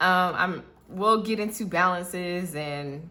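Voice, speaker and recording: Her voice has a bright, sharp tone at a fairly low pitch for a woman. Audible room echo surrounds it. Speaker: budgeting vlogger. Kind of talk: casual vlog tutorial.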